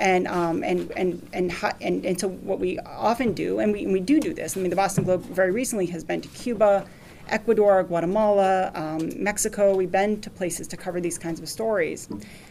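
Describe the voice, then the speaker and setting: A woman with an American accent at a fairly quick pace, hardly any pauses, ordinary pitch variation and audible room echo. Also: medium pitch for a woman. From Lawrence, Massachusetts. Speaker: newspaper reporter. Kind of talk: lecture talk with Q&A. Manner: halting.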